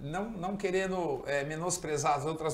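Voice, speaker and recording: A moderate pace with ordinary pitch variation. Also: man. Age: 60s. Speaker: surfer. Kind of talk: talk show interview.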